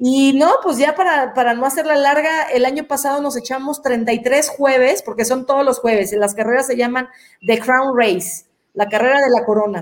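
Her high-pitched voice moves at a moderate pace with ordinary pitch variation. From Mexico, Guadalajara. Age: 40s. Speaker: professional athlete. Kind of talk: interview.

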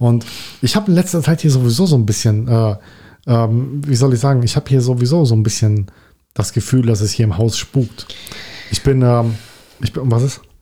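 A man speaks in a dark, mellow tone that is somewhat breathy, with very even loudness. He leaves long, frequent pauses. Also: medium pitch for a man, ordinary pitch variation, moderate pace. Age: 40s. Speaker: podcast co-host. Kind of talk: casual chat.

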